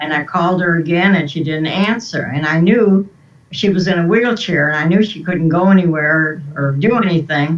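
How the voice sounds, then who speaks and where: A woman with a fairly low pitch speaks at a moderate pace with fairly even intonation. Noticeable background noise runs underneath. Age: 80s+. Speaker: interview guest. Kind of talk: storytelling.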